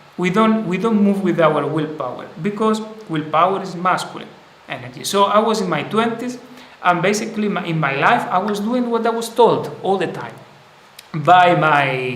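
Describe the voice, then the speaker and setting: Amid noticeable background noise and audible room echo, a man with a high pitch speaks with lively intonation. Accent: non-native. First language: not English. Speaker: spiritual teacher. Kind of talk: live stream talk. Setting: live stream. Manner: halting.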